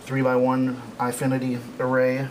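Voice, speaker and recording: A man speaks at medium pitch. Noticeable background noise runs behind him. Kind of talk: technical walkthrough to camera.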